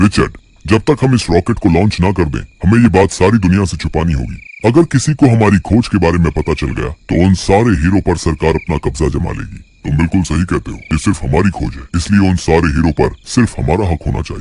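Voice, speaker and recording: In a cartoonish character voice, a man talks at a fairly quick pace with a very deep, low pitch and lively intonation. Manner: conspiratorial.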